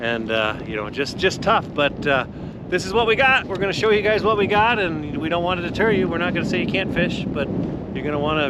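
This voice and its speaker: A man with an American accent at a fairly quick pace, with audible room echo and noticeable background noise. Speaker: outdoor fishing video host. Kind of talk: casual outdoor report. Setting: outdoors on a frozen lake. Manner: casual, conversational.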